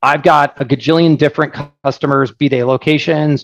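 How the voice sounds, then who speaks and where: A man speaks in an American accent with a fairly high pitch. His delivery is fairly quick, with monotone, flat intonation. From Oregon, US. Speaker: software founder. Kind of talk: casual webinar talk, Q&A. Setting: online session with microphone. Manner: casual, humorous.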